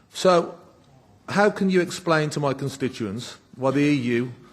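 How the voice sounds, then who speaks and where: A man in a West Midlands accent at a fairly slow pace. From West Midlands, England. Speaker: politician. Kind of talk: parliamentary speech. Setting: parliament chamber.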